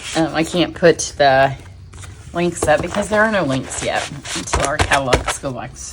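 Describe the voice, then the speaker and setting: A woman talks over noticeable background noise. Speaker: paper crafting demonstrator. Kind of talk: tutorial. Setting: home craft studio. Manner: fast; casual, chatty.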